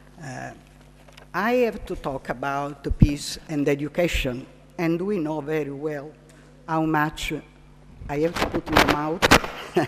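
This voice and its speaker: With a non-native accent, a woman speaks very slowly in a very deep, low voice. Her pitch varies in an ordinary way, and she pauses long and often. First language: Italian. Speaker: psychiatrist and Montessori trainer. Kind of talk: lecture. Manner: halting.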